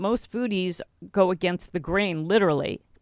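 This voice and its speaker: In a very clean, dry, close recording with a silent background and no echo, a woman talks in a normal speaking voice, fairly low in pitch, with ordinary pitch variation. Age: 60s. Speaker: podcast host and health coach. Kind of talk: interview.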